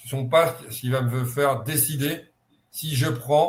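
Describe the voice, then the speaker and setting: Somewhat breathy, the voice rises and falls with ordinary pitch variation. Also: man. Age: 70s. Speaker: football scout. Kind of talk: online conference interview.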